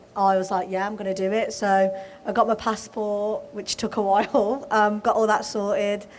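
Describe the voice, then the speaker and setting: A woman with a Birmingham accent, at a moderate pace, with monotone, flat intonation. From Birmingham, England. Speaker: footballer. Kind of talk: live podcast panel interview.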